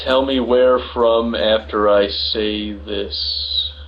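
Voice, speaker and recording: A man talks at a very slow pace. Audible room echo and noticeable background noise surround him. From not England, ethnically English. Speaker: live-stream host arguing with viewers. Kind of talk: heated debate. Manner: animated; halting.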